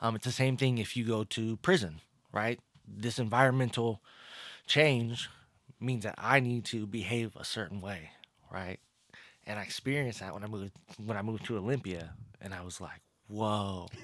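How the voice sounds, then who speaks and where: A man with an American accent speaks at a moderate pace, his fairly low pitch rising and falling in the usual way. His loudness swings widely, long pauses come often, and the recording is very clean with a silent background. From US West Coast (California, teen years in Washington). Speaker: author and community leader. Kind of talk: casual interview. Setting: studio. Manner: animated.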